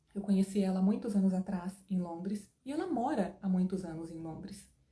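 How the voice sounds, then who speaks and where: Animated tone from a woman at a moderate pace. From Brazil. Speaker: English teacher. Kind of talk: online lesson.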